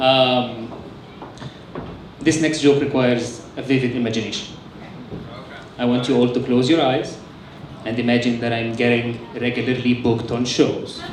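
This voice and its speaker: Speaking in a non-native accent at a moderate pace, the voice has monotone, flat intonation and long, frequent pauses, with audible room echo and noticeable background noise. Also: man, medium pitch for a man. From Egypt. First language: Arabic. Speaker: stand-up comedian. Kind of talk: stand-up. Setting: stage with audience in a bar.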